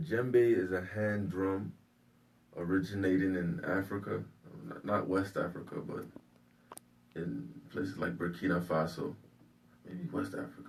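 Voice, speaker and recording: A man with a slight Nigerian accent and a very deep, low pitch, very wide pitch swings, a moderate pace, long and frequent pauses, and audible room echo. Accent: slight Nigerian-tinged. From Maryland, US, Nigerian family. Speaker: singer and percussionist. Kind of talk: interview.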